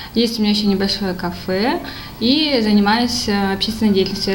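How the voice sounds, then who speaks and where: A woman talks at a medium pitch and a fairly quick pace. Audible room echo and noticeable background noise come through. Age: 20s. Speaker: entrepreneur, insurance. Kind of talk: casual food tasting chat.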